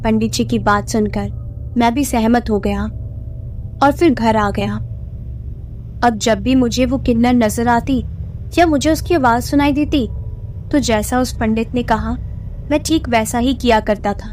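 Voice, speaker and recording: A woman speaks with long, frequent pauses. There is noticeable background noise. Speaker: radio jockey. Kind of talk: horror story narration.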